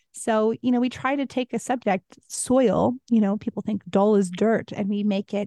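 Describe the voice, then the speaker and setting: An American accent comes with a dark, mellow tone and fairly even intonation at a moderate pace. The sound is dry and close, with no echo. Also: woman. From US Midwest. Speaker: documentary filmmaker and former actress. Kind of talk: interview.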